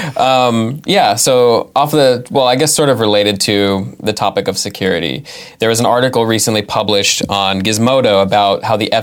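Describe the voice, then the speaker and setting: Speaking at a fairly quick pace with an American accent, this is a plain, everyday voice with ordinary pitch variation. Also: man. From California. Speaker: podcast co-host. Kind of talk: casual chat.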